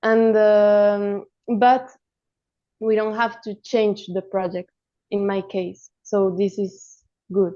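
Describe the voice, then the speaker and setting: In a Spanish accent, a dark, mellow voice moves very slowly in a flat monotone, broken by long, frequent pauses. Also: woman, medium pitch for a woman. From Colombia. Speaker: animation film director. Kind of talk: roundtable discussion.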